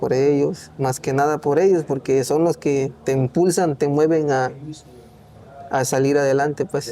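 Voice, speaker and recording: The speaker has a Mexican accent and a fairly slow pace. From Oaxaca, Mexico. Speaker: migrant worker. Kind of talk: interview answer.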